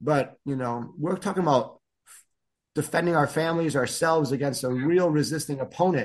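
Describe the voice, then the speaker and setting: Against a quiet background, a man speaks with a Chicago accent at a fairly quick pace and with ordinary pitch variation. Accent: Chicago-area American. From US Midwest, northern Chicago suburbs, Illinois. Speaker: martial arts instructor. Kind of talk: casual interview.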